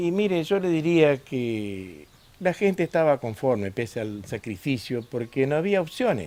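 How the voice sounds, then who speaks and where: The voice moves through very wide pitch swings at a fairly slow pace. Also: man, fairly high pitch for a man. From northern Santa Fe, Argentina. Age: 60s. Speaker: former company worker, interviewee. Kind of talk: documentary interview. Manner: hesitant, many fillers.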